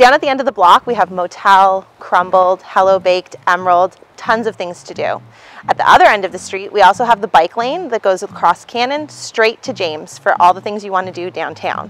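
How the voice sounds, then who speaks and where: A woman at a fairly quick pace, hardly any pauses, ordinary pitch variation and big swings in loudness, in a dry sound with no echo. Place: street.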